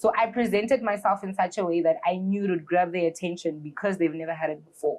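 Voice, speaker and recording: Hardly pausing, a woman rattles on at a very fast pace in a medium pitch with ordinary pitch variation. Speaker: events organiser. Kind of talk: interview. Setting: live stream. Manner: loud.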